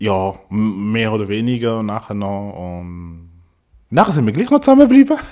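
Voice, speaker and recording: In a very clean recording with a silent background, a man speaks at a moderate pace with big swings in loudness. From Congo. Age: 30s. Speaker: podcast guest. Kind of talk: casual chat.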